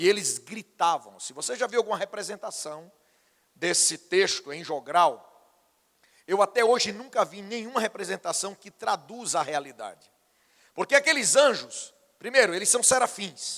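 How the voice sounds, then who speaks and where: A man's high, bright and sharp voice at a moderate pace, with lively intonation and big swings in loudness. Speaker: pastor. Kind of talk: sermon.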